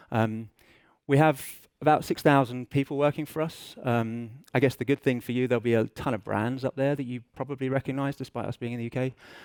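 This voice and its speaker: A medium-pitched male voice with an English accent, fairly even intonation and a fairly quick pace on a very clean recording with a silent background. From England. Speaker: business intelligence director, conference speaker. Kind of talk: conference presentation. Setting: stage with audience. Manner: casual, self-deprecating with fillers.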